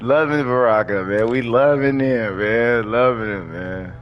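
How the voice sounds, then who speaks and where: Music plays in the background and there is audible room echo. A man speaks at a fairly slow pace. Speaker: gaming streamer. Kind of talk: live gameplay commentary. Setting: live stream. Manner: casual, animated.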